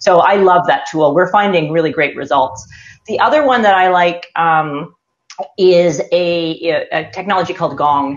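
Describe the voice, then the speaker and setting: Speaking in a Canadian accent with an ordinary speaking voice, a woman talks at a fairly slow pace and fairly low pitch, with lively intonation and very even loudness. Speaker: sales consultant. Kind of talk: panel discussion. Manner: casual, many fillers.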